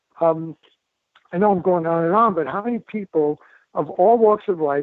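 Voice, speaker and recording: A man with a New York accent speaks in a high pitch with ordinary pitch variation. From New York City, the Bronx. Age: 70s. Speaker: doctor and author. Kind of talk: interview. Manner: fast; animated.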